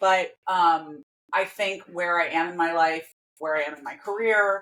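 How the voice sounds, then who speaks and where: A woman has a plain, everyday voice, pitched fairly low with fairly even intonation. She speaks fairly slowly, with big swings in loudness. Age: 40s. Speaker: fashion designer and activist. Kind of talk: casual chat.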